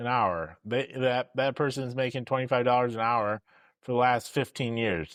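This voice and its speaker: The background is quiet as a man talks at a medium pitch. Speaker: podcast host in the boiler industry. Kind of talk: solo podcast monologue. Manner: slow.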